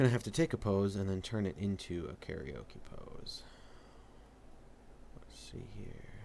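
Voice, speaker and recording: A whispering man speaks at a fairly slow pace with long, frequent pauses and big swings in loudness. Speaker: comic artist streamer. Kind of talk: casual live stream commentary while drawing. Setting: live stream. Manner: casual, thinking aloud with fillers.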